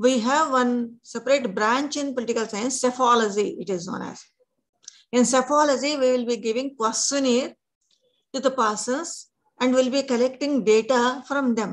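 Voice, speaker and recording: A woman speaks at a moderate pace in a high pitch with fairly even intonation. The background is quiet. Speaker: teacher. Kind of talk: lecture. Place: home room.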